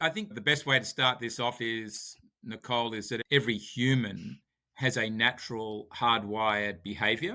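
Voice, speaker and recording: With a Sydney accent, a man talks at a moderate pace in a medium pitch, his tone bright and sharp and his pitch variation ordinary. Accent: Australian (Sydney). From Sydney, Australia. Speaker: author and company founder. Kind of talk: podcast interview. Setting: remote call.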